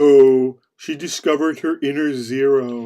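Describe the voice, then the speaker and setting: The voice is a cartoonish character voice pitched low-to-middle. It moves at a fairly slow pace. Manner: solemn, declamatory.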